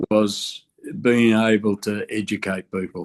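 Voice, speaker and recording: A man with an Australian accent, a fairly low pitch and fairly even intonation, at a very slow pace. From Australia, Canberra. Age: 70s. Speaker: construction safety and union veteran. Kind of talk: podcast interview.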